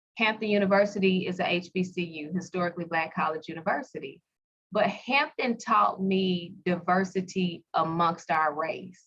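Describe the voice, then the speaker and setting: Speaking in a Southern US accent, a woman talks at a moderate pace with ordinary pitch variation. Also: medium pitch for a woman. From US South, Pine Bluff, Arkansas. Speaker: skincare entrepreneur. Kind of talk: interview.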